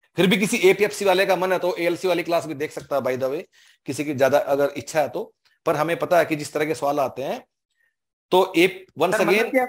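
High male voice over a quiet background. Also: ordinary pitch variation. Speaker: exam coaching teacher. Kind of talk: online class Q&A answer. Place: office. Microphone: headset.

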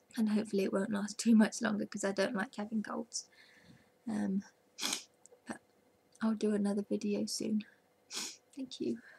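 At a moderate pace and medium pitch, a woman with a dark, mellow tone and vocal fry speaks with long, frequent pauses. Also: fairly even intonation. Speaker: vlogger. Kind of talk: casual video diary. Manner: hesitant, many ums.

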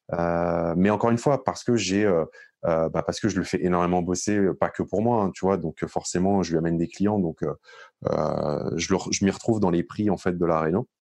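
Over a quiet background, a man with a very deep, low pitch talks at a moderate pace, with ordinary pitch variation and very even loudness. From Paris region, Hauts-de-Seine. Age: 30s. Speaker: real estate investor. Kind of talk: interview.

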